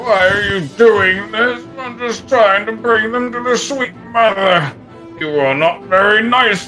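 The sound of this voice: A put-on character voice at fairly high pitch moves at a fairly slow pace over clear music in the background.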